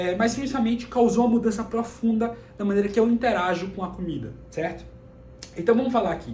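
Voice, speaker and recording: Amid noticeable background noise and audible room echo, a man speaks very fast at a high pitch with ordinary pitch variation. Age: 20s. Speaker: personal development YouTuber. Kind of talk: personal vlog talk to camera. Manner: casual.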